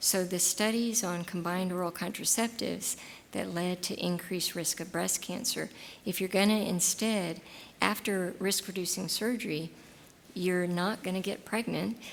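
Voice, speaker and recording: Here is an unremarkable speaking voice with an American accent. It moves at a moderate pace with fairly even intonation. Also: woman, medium pitch for a woman. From Texas. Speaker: gynecologist giving a talk. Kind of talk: lecture with audience Q&A.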